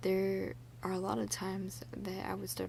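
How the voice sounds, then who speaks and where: The voice is soft-spoken. Its tone is relaxed. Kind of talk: soft-spoken ASMR ramble talking to camera. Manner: soft-spoken, relaxed.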